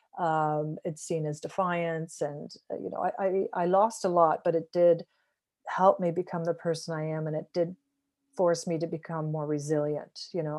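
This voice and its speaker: Against a quiet background, a woman with a Canadian accent uses an unremarkable speaking voice, fairly low in pitch, with fairly even intonation at a moderate pace. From Canada, small-town Ontario. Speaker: author. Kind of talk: interview.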